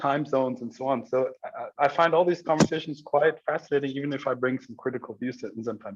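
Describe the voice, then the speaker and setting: Speaking at a fairly quick pace, a man with a German accent uses a medium-pitched voice. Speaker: academic discussant. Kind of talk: group discussion. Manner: halting, many fillers.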